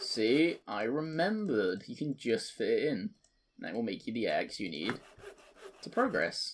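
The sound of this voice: The speech moves at a fairly slow pace, with big swings in pitch. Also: man, fairly low pitch for a man.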